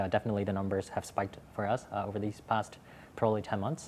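A man speaks with an American accent at a fairly low pitch. His intonation is fairly even, with light background noise. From Hong Kong. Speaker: startup executive; panelist. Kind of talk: panel discussion. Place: studio. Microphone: lapel.

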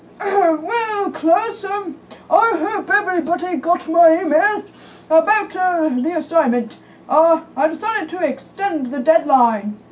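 A cartoonish character voice with an extremely high pitch. It moves at a fairly slow pace. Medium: puppet show. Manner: casual, kindly.

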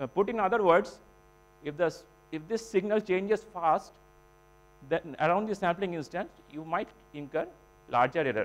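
A man with a high pitch speaks at a moderate pace. He uses ordinary pitch variation and long, frequent pauses. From India. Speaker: PhD researcher presenting; presenter. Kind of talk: technical conference talk. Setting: symposium hall with audience. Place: hall.

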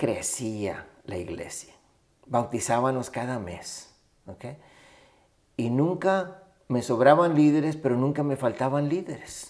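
Against a quiet background, a man speaks very slowly with lively intonation, big swings in loudness, and long, frequent pauses. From Mexico-Texas border, Matamoros and Rio Grande Valley; Texas. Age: 60s. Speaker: Baptist missions director, pastor; interview guest, pastor. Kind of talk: interview conversation. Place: home room. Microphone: studio mic.

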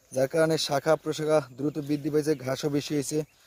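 A man's voice, fairly high-pitched, with a dark, mellow tone and a dry, close sound free of echo. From Bangladesh, Barisal. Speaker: grass farmer and seller. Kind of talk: farming tutorial with sales pitch.

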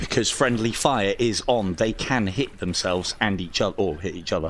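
The speaker has an English accent and a playful tone. The pace is fairly quick. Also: man. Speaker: VR gaming channel host. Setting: online multiplayer voice chat. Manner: chatty, playful commentary.

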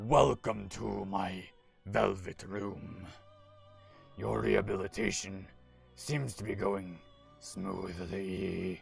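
A man's put-on character voice, very deep and low, gravelly and raspy, at a very slow pace with long, frequent pauses, clear music in the background. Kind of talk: reading game dialogue aloud during a gameplay stream.

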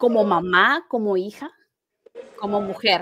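Speaking at a very slow pace, a woman is heard over light background noise. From Mexico. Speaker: life coach. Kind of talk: interview. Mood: warm, heartfelt, animated. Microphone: video call.

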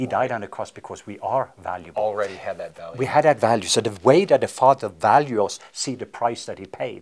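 Talking at a fairly quick pace with hardly any pauses, a man with a Norwegian accent shows big swings in loudness. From Norway. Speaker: evangelist. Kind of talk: interview. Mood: warm, earnest. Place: studio. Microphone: lapel.

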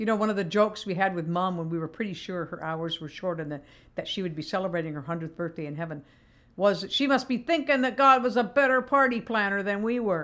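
A woman at a very fast pace with lively intonation. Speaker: devotional speaker. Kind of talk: prayer, then a devotional talk. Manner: tender, reflective, emotional about her mother's death. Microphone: webcam.

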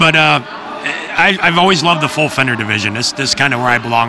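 A man at a very fast pace, with noticeable background noise. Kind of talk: interview answer. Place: hall. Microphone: handheld.

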